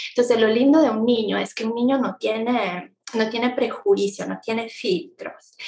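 Speaking with an Italian accent, a woman talks at a moderate pace in a fairly high pitch, with ordinary pitch variation and hardly any pauses. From Italy. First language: Italian (speaking Spanish). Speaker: travel blogger, economist, mother. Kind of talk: casual interview chat. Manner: hesitant, many fillers.

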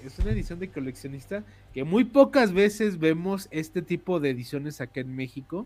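A man with a fairly high pitch, lively intonation and a moderate pace. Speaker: podcast host. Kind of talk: casual chat. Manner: animated.

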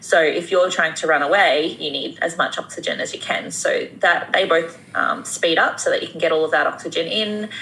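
Over noticeable background noise, a woman speaks at a moderate pace with hardly any pauses. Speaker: women's health expert, YouTuber. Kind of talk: casual interview chat.

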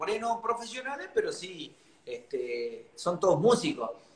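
A man speaks with very wide swings in pitch. Noticeable noise runs in the background. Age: 40s. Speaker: cumbia singer. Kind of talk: interview.

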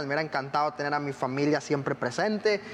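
The speaker is a man with a fairly high-pitched voice. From Costa Rica. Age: 20s. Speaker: missionary and pastor. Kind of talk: testimony.

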